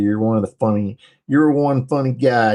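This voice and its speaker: A man speaks with ordinary pitch variation and a moderate pace, the background quiet. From northern US. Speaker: live streamer; military veteran. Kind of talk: casual live stream chat reading comments.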